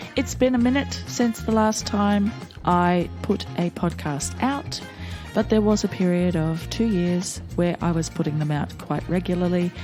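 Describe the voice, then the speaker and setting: Over background music, a woman with an Australian accent talks at a fairly slow pace, her loudness very even. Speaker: podcast host. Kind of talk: podcast intro and conversation.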